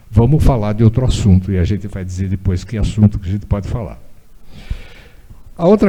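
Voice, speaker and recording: Somewhat breathy, a man's voice sits fairly low in pitch, dark and mellow in tone, with ordinary pitch variation. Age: 80s+. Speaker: former city transport official, engineer. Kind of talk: public talk. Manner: conversational, with hesitations.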